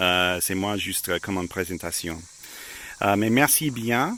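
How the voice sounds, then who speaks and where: A man speaks with an English accent. His pitch is fairly low and his pace moderate. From United States. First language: English (speaking French). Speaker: amateur radio operator. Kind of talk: casual outdoor video narration. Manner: halting, many hesitations.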